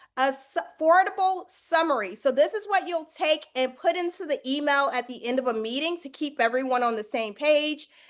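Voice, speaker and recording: With music playing in the background, a woman speaks at a moderate pace using lively intonation. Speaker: negotiation coach. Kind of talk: live online lesson. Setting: live webinar.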